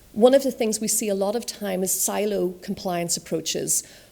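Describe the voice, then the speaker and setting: Speaking at a fairly quick pace, a woman uses a medium pitch, ordinary pitch variation and a dark, mellow tone. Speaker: conference speaker on fintech regulation. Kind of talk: conference talk. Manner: fast.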